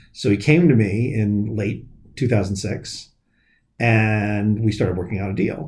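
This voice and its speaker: A somewhat breathy voice speaks at a fairly slow pace, with audible room echo. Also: man, fairly low pitch for a man, ordinary pitch variation. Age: 40s. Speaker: comic shop owner. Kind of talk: casual chat.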